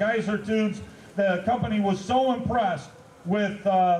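Audible room echo and light background noise surround a man's high voice. He talks at a moderate pace with fairly even intonation. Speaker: event host. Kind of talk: event announcement. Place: open country.

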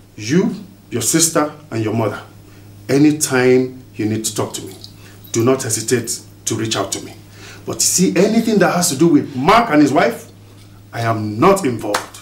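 Big swings in loudness, long and frequent pauses, and audible room echo. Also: man, moderate pace. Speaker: actor playing a family elder. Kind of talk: dramatic scripted dialogue. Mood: stern, disappointed, firm. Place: home room.

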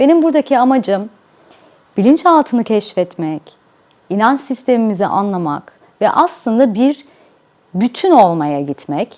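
Fairly high-pitched woman's voice with a slight non-native accent, very wide pitch swings, a fairly slow pace and long, frequent pauses. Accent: slight non-native Turkish. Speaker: life coach, YouTuber. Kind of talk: channel introduction.

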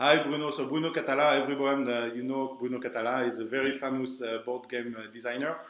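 Speaking at a very fast pace with hardly any pauses, a man keeps a monotone, flat intonation amid audible room echo. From France. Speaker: event organizer. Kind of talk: interview. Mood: warm, welcoming. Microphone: video call.

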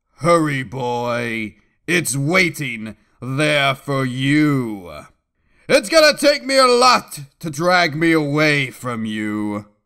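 This man puts on a character voice, pitched fairly high, with lively intonation. He talks at a very slow pace over a very clean recording and a silent background. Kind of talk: comic overdramatic reading. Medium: comedy sketch. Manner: grave, urgent.

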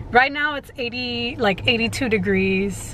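There is light background noise as a woman talks very slowly with ordinary pitch variation, the sound dry with no echo. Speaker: vlogger. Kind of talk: casual vlog chat. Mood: relaxed, amused. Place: car. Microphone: camera far.

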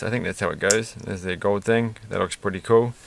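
The sound is dry, without any echo. Pitch variation in this man's speech is ordinary. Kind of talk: casual build commentary.

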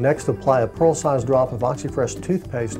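Music plays in the background as a man speaks fairly quickly. His medium-pitched voice shows ordinary pitch variation. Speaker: dentist. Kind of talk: infomercial presentation.

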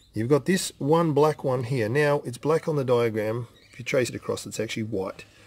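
A somewhat breathy male voice at a fairly quick pace. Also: ordinary pitch variation. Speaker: car hobbyist vlogger. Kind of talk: tutorial. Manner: casual, chatty. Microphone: phone near.

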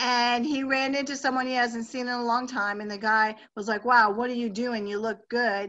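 Her high pitch comes through in a bright, sharp tone with a monotone, flat intonation. The woman talks at a moderate pace with hardly any pauses. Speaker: host interviewing a product user. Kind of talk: host of a group call. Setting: phone line. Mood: enthusiastic, upbeat. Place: home room. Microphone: webcam.

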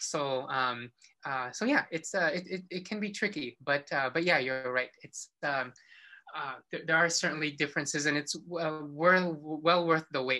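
A man's fairly high voice has a bright, sharp tone. He talks at a fairly slow pace with ordinary pitch variation. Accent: American. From Philippines, then US. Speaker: horticulturist. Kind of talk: interview. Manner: halting.

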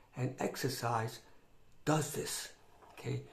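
Somewhat breathy, the man's voice has ordinary pitch variation. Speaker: fitness vlogger. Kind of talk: casual vlog chat. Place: home room. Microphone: phone near.

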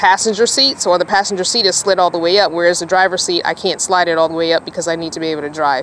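A woman talks at a very fast pace. The sound is dry with no echo, with light background noise. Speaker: van dweller vlogger. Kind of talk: casual vlog chat. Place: car. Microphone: phone near.

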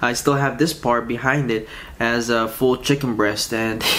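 The speaker is a man. He keeps to a moderate speed. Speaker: food vlogger. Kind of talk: casual eating vlog chat. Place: home room.

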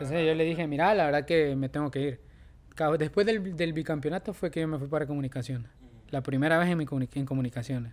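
A man talks at a very fast pace, his voice fairly high with ordinary pitch variation. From El Salvador, San Salvador. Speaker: professional footballer; podcast guest. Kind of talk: casual chat; interview answer. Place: studio. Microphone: studio mic.

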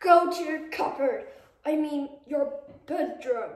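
Slight echo surrounds a high, put-on character voice that speaks at a fairly slow pace. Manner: angry, commanding.

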